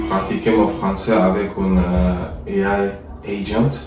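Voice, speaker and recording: With audible room echo and noticeable background noise, a man speaks very slowly at a fairly low pitch. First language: not French (speaking French). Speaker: French learner practicing with an AI tutor. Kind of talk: casual language practice conversation. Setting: voice chat with an AI agent. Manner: halting, many hesitations.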